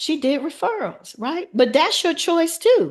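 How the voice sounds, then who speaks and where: A woman's high-pitched voice. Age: 50s. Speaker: financial advisor. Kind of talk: webinar presentation. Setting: video call.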